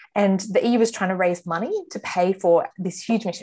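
A somewhat breathy woman at medium pitch, her tone dark and mellow. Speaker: campus ministry staff worker. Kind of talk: panel discussion, prayer.

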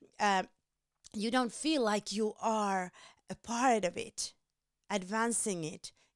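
Fairly even intonation in a Finnish accent, with dry, close sound, no echo and a very clean recording on a silent background. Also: woman. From Finland. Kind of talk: devotional teaching. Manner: halting, many fillers.

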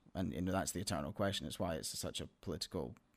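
A man talks very fast with a very deep, low pitch, vocal fry and ordinary pitch variation. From Scotland, Glasgow. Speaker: filmmaker. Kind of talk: interview. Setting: host's home studio.

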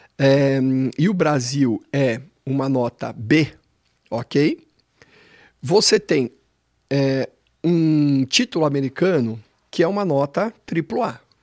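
The speaker goes at a very slow pace with lively intonation and long, frequent pauses. The sound is dry and close, with no echo. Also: man, fairly high pitch for a man. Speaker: financial educator. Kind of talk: explanatory chat.

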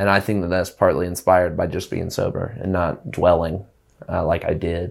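A man speaks with an Alabama accent in a very deep, low pitch. His pace is moderate and his intonation fairly even. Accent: Alabama Southern US. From small-town Alabama (Prattville). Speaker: musician. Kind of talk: casual chat. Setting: studio.

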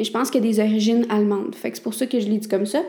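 A woman with a Quebec accent. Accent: Québécois French. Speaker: podcast host. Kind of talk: solo talk. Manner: casual, conversational.

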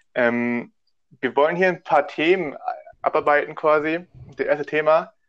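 A man speaking at a fairly slow pace. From Hamburg, Germany. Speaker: podcast host. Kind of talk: casual chat. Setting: remote recording.

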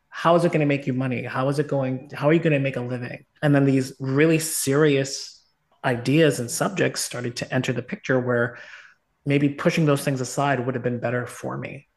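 A man's plain, everyday voice at a medium pitch, fairly quick in pace and fairly even in intonation. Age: 40s. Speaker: dance instructor and meditation center founder. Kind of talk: casual chat. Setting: call.

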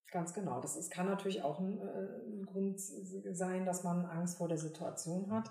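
A woman speaks at a moderate pace with medium pitch and fairly even intonation. Room echo is audible, along with noticeable background noise. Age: 50s. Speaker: professional singer and entrepreneur. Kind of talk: casual interview.

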